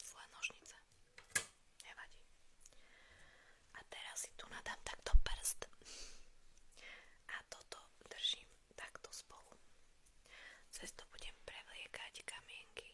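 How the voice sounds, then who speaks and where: A woman whispers at a fairly slow pace with long, frequent pauses. Her loudness swings widely. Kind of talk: ASMR role play. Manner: whispered.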